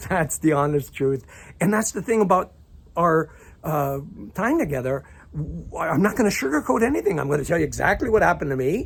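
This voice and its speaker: With lively intonation and some vocal fry, a man speaks at a fairly quick pace in a fairly high pitch. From Croatia (left Yugoslavia at 8, grew up abroad). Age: 60s. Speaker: life coach. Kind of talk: casual monologue. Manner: halting, repetitive stammering.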